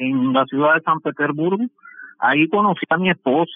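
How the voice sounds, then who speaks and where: The man's voice sits fairly high and shows ordinary pitch variation. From Cuba. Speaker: shipbuilding engineer. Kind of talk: interview. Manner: halting.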